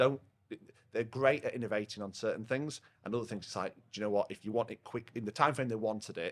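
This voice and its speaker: Speaking very fast in a Yorkshire accent, a man keeps a medium pitch and fairly even intonation. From northern England, Rotherham, Yorkshire. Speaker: partnerships manager at a software company. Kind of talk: podcast interview. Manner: loud.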